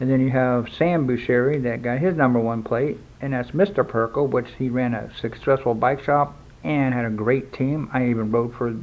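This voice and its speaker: Speaking at a moderate pace, a man has an unremarkable speaking voice pitched in the medium range. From US South, South Florida. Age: 60s. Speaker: BMX collector and former racer. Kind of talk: casual review. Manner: conversational, with fillers.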